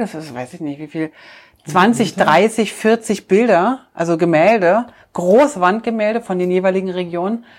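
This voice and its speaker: A woman's voice at a moderate pace with big swings in loudness. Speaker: travel podcast co-host. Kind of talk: casual chat.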